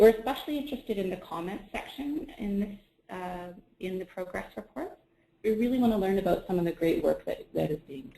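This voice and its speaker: Somewhat breathy with a dark, mellow tone, a woman of medium pitch speaks at a fairly quick pace with big swings in loudness. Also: lively intonation. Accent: Canadian. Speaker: webinar presenter. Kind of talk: software tutorial webinar. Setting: online webinar broadcast.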